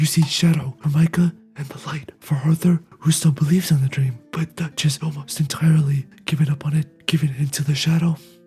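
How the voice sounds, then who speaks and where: The recording carries noticeable background noise, and the speech runs on with hardly any pauses. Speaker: video game commentator. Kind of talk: reaction video commentary.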